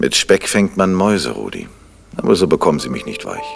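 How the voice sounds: A man does a put-on character voice at an extremely low pitch, with vocal fry and a slightly husky edge. He moves at a fairly quick pace with big pitch swings.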